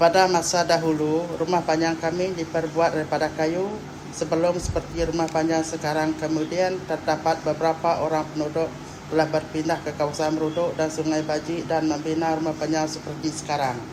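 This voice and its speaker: The speaker's intonation is monotone and flat at a moderate pace. Noticeable noise runs in the background. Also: woman, very deep, low pitch for a woman. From Sarawak, Malaysia (Iban longhouse village). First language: Iban (speaking Malay). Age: 50s. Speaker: longhouse chief. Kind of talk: interview answers. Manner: halting.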